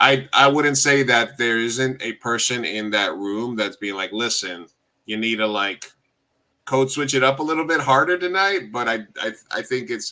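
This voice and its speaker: A man with an ordinary speaking voice and an American accent, medium in pitch, with lively intonation at a moderate pace. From US, Uruguayan heritage. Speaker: podcast host. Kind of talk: casual chat.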